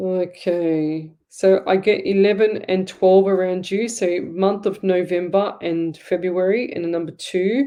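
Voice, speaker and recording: The speech moves at a fairly slow pace. It has hardly any pauses. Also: woman, medium pitch for a woman. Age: 50s. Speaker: psychic medium, show host. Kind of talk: live psychic reading show. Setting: live stream. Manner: animated.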